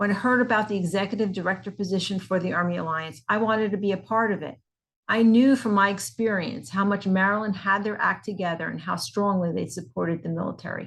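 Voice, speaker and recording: A woman with a New Jersey accent talks at a very fast pace, somewhat breathy, at a medium pitch with ordinary pitch variation. The background is quiet. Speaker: nonprofit executive director. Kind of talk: scripted promotional talk.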